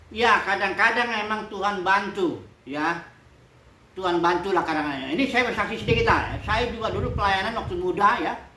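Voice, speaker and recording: Over noticeable background noise and audible room echo, a woman speaks at a fairly quick pace, medium in pitch with ordinary pitch variation. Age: 60s. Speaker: pastor. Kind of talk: sermon. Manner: casual.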